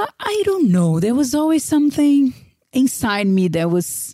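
A woman with a Brazilian accent speaks at a moderate pace, somewhat breathy and dark, mellow in tone, with very wide pitch swings. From Brazil, Vitória (Espírito Santo). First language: Portuguese. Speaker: career coach. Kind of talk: interview conversation.

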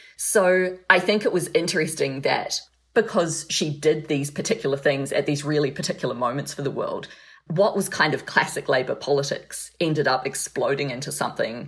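A woman talks with a New Zealand accent. Her pace is moderate. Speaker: freelance correspondent and author. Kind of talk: interview.

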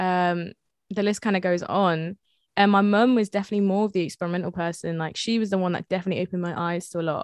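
A woman talks very fast in an English Midlands accent, medium in pitch with fairly even intonation. The sound is dry and close with no echo, over a quiet background. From England, Leicester. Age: 20s. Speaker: music artist and producer. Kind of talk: interview.

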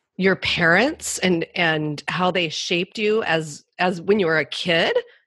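A woman's medium-pitched voice at a very slow pace over a quiet background. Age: 50s. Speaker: podcast host and author. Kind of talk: interview.

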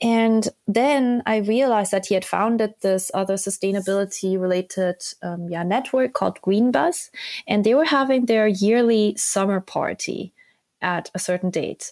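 A woman with a Korean accent speaks at a moderate pace and medium pitch with ordinary pitch variation, on a very clean recording with a silent background. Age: 30s. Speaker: sustainable finance program leader. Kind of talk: interview.

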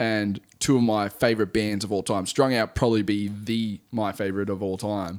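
A man with an Australian accent and a fairly low pitch speaks at a moderate pace with hardly any pauses, in a monotone, flat intonation. The recording is very clean, with a silent background. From Central Coast, New South Wales, Australia. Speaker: music producer and singer. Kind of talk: casual interview chat. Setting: guest's home studio.

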